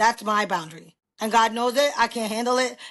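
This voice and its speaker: This woman has a New York accent and an animated tone. Her pace is fairly quick. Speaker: podcast guest. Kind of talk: casual chat. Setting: video recording on camera. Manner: loud.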